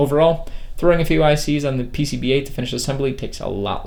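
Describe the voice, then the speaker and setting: A man's very fast speech with audible room echo. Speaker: electronics engineer YouTuber. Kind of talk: product review; tutorial. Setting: electronics lab.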